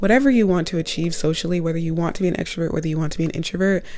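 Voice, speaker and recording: Over music in the background, a woman with a fairly low pitch talks at a very fast pace. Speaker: college student. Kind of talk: casual talk to camera. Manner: chatty, upbeat.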